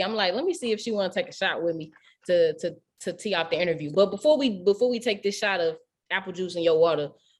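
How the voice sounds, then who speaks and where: Animated and very fast, a woman speaks at medium pitch with ordinary pitch variation and a strong St. Louis accent. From St. Louis, Missouri. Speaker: radio host. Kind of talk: casual interview.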